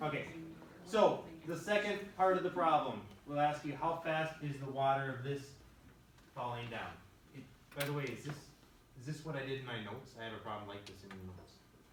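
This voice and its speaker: Through noticeable background noise and audible room echo, a man speaks at a fairly quick pace and fairly high pitch, with lively intonation, big swings in loudness, and long, frequent pauses. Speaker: high school math teacher. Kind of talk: classroom lecture.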